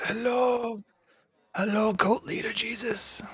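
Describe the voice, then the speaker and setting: A put-on character voice comes out raspy and croaky at a fairly high pitch. The delivery is fairly slow. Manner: greeting, villainous.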